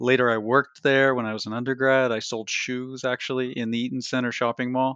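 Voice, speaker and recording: Flat, monotone speech with a Canadian accent at a fairly quick pace, over a quiet background. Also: man, medium pitch for a man. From Canada, Toronto. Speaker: history professor and author. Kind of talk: interview. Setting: remote call from his office.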